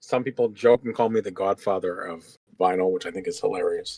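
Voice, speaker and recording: The speaker has an American accent, and the sound is dry and close with no echo. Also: man. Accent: Massachusetts accent, comes out occasionally. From Massachusetts. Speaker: vinyl seller. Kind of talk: casual interview.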